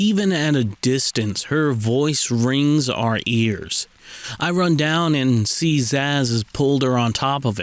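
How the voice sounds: Ordinary pitch variation marks this clip of a natural reading voice.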